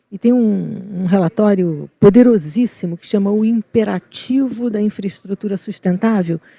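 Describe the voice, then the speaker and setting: A woman at medium pitch with a Rio de Janeiro accent, a somewhat breathy, dark, mellow tone, ordinary pitch variation, big swings in loudness, a moderate pace with hardly any pauses, and a dry, close sound with no echo. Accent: carioca (Rio de Janeiro). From Rio de Janeiro, Brazil. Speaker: environmental consultant, panelist. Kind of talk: panel discussion.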